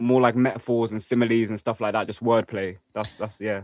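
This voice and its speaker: With a London accent, a man talks at a medium pitch. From North West London. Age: 20s. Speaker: rapper. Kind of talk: casual chat.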